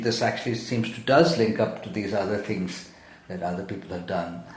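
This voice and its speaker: Over noticeable background noise and audible room echo, a man talks with ordinary pitch variation. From Zambia. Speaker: poet. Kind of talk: interview. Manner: halting, many fillers and repetitions.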